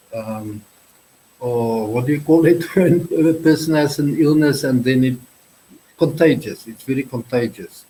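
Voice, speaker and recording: A man with a fairly high pitch and ordinary pitch variation speaks in a dark, mellow, somewhat breathy tone, with big swings in loudness and long, frequent pauses. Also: moderate pace. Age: 60s. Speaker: YouTuber guest. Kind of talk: casual chat. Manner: halting.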